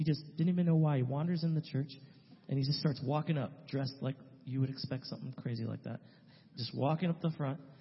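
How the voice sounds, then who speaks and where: Somewhat breathy, a man with an American accent talks at a very fast pace. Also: fairly even intonation. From California, San Francisco Bay Area. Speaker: missionary. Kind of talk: testimony. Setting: church.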